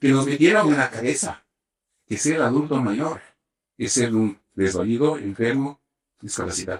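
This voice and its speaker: Moderate tempo and lively intonation from a man, pitched in the middle range. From Ecuador. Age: 60s. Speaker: sports medicine doctor. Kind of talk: interview. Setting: sports medicine center at a velodrome. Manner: animated.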